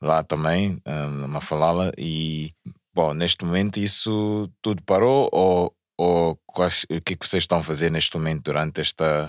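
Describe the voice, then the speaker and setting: Over a quiet background with a dry sound and no echo, a man talks at a fairly slow pace in a very deep, low voice with fairly even intonation. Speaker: podcast host. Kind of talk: casual chat. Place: studio. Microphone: studio mic.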